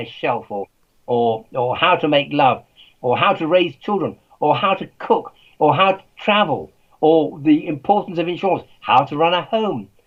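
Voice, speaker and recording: A man's fairly high-pitched voice with an English accent at a moderate pace. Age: 80s+. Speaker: author and scientist. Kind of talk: interview.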